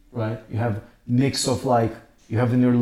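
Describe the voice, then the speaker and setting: The voice carries a Portuguese accent and a dark, mellow tone. It sounds somewhat breathy. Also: man. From Brazil. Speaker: podcast co-host, artist. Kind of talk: casual chat. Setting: rented apartment in Istanbul.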